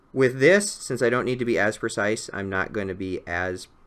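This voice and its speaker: A man with an unremarkable speaking voice talks at a moderate pace with fairly even intonation on a very clean recording with a silent background. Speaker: miniature painting tutor. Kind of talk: tutorial. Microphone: new improved audio.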